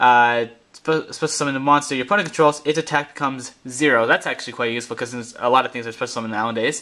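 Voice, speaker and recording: A man speaks at a medium pitch with a bright, sharp tone. He goes at a very fast pace with hardly any pauses and ordinary pitch variation. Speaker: card game video reviewer. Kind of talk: tutorial. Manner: halting.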